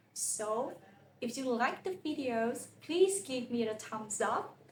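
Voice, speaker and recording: A woman speaks at a very slow pace and a high pitch, her voice making very wide pitch swings, with audible room echo. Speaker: language teacher. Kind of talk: tutorial. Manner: slow, clear repetition.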